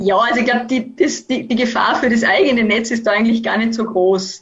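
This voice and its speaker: A woman with an ordinary speaking voice, a fairly high pitch and a moderate pace. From Austria, Vorarlberg. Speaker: university professor, network expert. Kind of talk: expert interview. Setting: video call.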